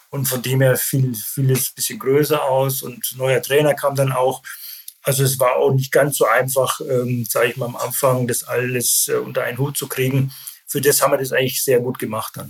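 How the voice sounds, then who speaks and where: A somewhat breathy man's voice at medium pitch and a moderate pace, with monotone, flat intonation. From Bavaria, Germany (Landshut). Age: 50s. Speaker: football club sporting director, former pro player. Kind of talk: interview. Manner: hesitant, many filler sounds.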